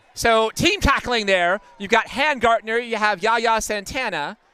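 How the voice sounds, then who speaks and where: This man has a high pitch and a raised, projected voice. He speaks at a fairly slow pace. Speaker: play-by-play sports commentator. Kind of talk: live commentary. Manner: loud.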